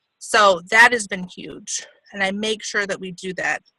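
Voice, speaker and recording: A woman's voice has medium pitch and a bright, sharp tone. Her intonation stays fairly even, and the sound is dry and close with no echo. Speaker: network marketing distributor. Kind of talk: conference call talk.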